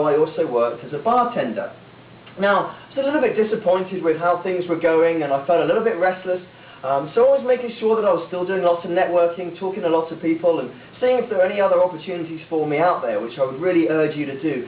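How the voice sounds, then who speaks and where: Someone with an English accent talks very fast with lively intonation over noticeable background noise. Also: man. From England, small town. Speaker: motivational speaker, former cruise ship worker. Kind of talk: speech to audience. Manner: animated.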